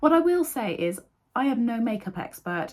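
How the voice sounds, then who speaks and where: The speaker is a woman whose pitch swings very widely. Her voice is somewhat breathy. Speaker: sewing vlogger. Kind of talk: makeup tutorial. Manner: casual, chatty.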